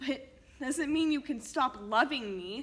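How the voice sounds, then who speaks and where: A woman speaks in a high, raised and projected voice with ordinary pitch variation. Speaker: actor performing a monologue. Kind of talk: acting out a tense family argument, scripted dramatic monologue. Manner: angry, accusatory, raised and cutting. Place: studio.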